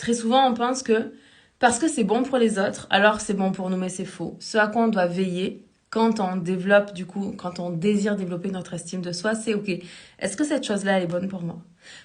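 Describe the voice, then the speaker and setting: At a fairly quick pace, a woman talks somewhat breathily in a medium pitch with ordinary pitch variation. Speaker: life coach. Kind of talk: live stream talk. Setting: live stream. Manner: fast.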